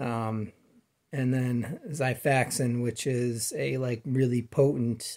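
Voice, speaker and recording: A man's voice with long, frequent pauses, fairly even intonation, and a quiet background. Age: 40s. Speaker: vlogger sharing personal illness story. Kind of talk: personal testimony monologue. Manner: halting, many fillers. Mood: calm, earnest. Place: home room. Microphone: phone near.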